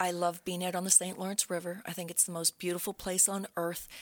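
A woman's fairly low, monotone voice with flat intonation, in an Ontario accent. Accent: Canadian English (Ontario). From Brockville, Ontario, Canada. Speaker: real estate agent. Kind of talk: casual interview.

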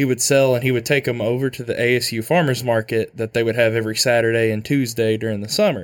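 The recording is very clean, with a silent background. A man with an Arkansas accent talks at a fairly quick pace and medium pitch. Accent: Southern US (Arkansas). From Arkansas, US South. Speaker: university student and farm worker. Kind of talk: casual interview.

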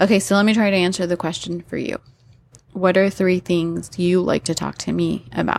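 A woman's fairly low pitch with ordinary variation, a normal speaking voice, moderate pace. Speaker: podcast host. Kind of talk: casual chat.

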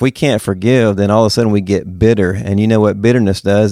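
In a Southern US accent, a man speaks at a very fast pace with a fairly low pitch and ordinary pitch variation, on a very clean recording with a silent background. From Mississippi. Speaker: pastor and author. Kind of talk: interview.

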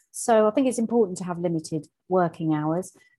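Against a quiet background, a woman with an English accent speaks fairly quickly at a medium pitch, her tone dark and mellow and her pitch variation ordinary. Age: 50s. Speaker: coach and mentor. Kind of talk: interview.

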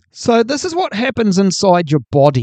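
A man with a New Zealand accent talks at a moderate pace. The sound is dry and close with no echo, over a quiet background. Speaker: podcast host. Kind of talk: solo podcast monologue. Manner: casual, hesitant with fillers.

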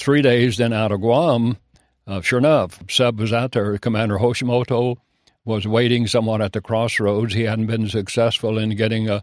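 Medium-pitched male voice with a Kentucky accent, moderate pace and fairly even intonation, on a very clean recording with a silent background and a dry, close sound with no echo. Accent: Kentucky rural Southern US. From Kentucky, rural. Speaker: war veteran. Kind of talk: testimony. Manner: halting, many fillers.

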